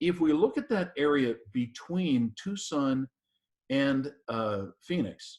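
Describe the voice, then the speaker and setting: A man with a normal speaking voice talks at a fairly high pitch. His intonation is lively. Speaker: practice consultant and webinar host. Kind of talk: webinar presentation. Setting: online webinar.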